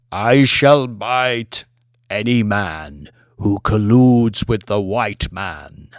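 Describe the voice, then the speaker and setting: In a resonant, put-on character voice, a man speaks at a very slow pace and fairly low pitch, recorded very cleanly against a silent background. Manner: threatening, declamatory.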